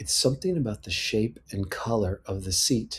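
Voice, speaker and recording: A man with an American accent, somewhat breathy, at a moderate pace with ordinary pitch variation, on a very clean recording with a silent background. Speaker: personal audio letter writer. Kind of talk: reading aloud a personal letter.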